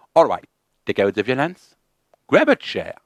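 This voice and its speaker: In a very clean recording with a silent background, a man speaks with a French accent, the sound dry and close with no echo. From France. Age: 30s. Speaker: YouTuber learning English. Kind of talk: personal monologue to camera.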